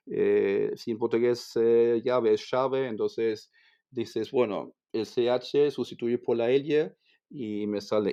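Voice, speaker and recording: Here a man with a German accent speaks at a medium pitch. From Germany. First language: German (speaking Spanish). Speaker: language teacher. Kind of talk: interview. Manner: halting, with frequent repetitions.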